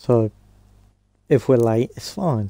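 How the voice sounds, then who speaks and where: A man with a British accent speaks at a very slow pace, his tone dark and mellow at a medium pitch with ordinary pitch variation. The recording is very clean, with a silent background. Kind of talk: casual gameplay commentary.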